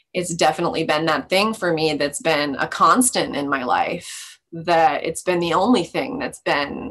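An ordinary speaking voice from a woman, fairly low in pitch, fairly slow, with lively intonation. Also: hardly any pauses. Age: 30s. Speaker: podcast guest in a cannabis-moderation program. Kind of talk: casual interview.

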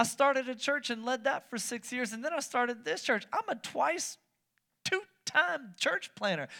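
Raising and projecting his voice, a man with an extremely high pitch and a bright, sharp tone speaks at a moderate pace with lively intonation. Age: 30s. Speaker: pastor. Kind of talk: sermon. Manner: animated.

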